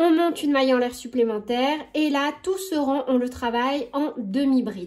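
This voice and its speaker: A woman's high-pitched voice against a quiet background. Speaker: crochet tutorial creator. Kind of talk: tutorial. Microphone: phone near.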